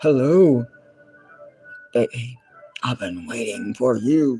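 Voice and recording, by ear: With faint music in the background, a man does a robotic, put-on character voice at a medium pitch and a fairly slow pace.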